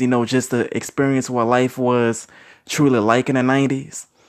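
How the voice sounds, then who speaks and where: Against a quiet background, a man with an American accent speaks at a moderate pace in an unremarkable speaking voice. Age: 30s. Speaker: youtuber sharing opinions. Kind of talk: solo monologue vlog. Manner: casual with many fillers.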